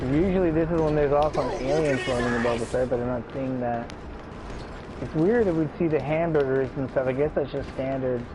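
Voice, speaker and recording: A soft-spoken man talks at a fairly quick pace in a fairly high pitch with ordinary pitch variation. Audible room echo and noticeable background noise are present. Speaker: gaming streamer. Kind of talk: live gameplay commentary.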